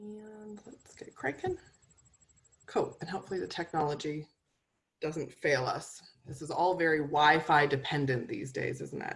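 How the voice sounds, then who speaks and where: Pausing long and often, a woman speaks at a moderate pace in a fairly low, somewhat breathy voice, with ordinary pitch variation and big swings in loudness. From Canada. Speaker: nutritionist and medical herbalist. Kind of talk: webinar presentation. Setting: video call webinar.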